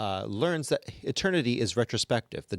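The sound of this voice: The reading voice is unforced. Its intonation has a lively movement.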